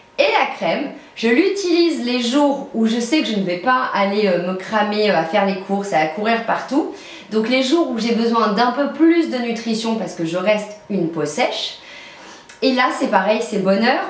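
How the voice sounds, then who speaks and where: A fairly high-pitched woman with lively intonation at a fairly slow pace, amid audible room echo and noticeable background noise. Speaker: beauty vlogger. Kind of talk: product review vlog. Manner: animated.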